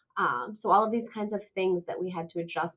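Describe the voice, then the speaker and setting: A woman speaks at a medium pitch with fairly even intonation. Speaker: counselor educator. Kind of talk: interview conversation. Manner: fast.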